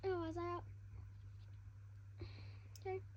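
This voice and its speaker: A squeaky-voiced woman speaks at a moderate pace against noticeable background noise. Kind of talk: casual read-aloud of a children's fantasy novel. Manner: hesitant, stumbles over words.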